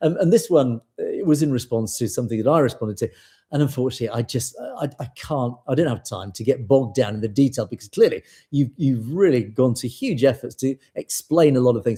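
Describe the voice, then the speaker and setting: Fairly quick and somewhat breathy, a man with a medium pitch and a dark, mellow tone speaks with ordinary pitch variation on a very clean recording with a silent background. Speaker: news show host. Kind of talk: live show reading viewer comments. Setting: live stream. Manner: fast at times.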